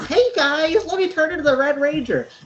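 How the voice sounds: A put-on character voice, high-pitched and nasal, moves along at a fairly quick pace.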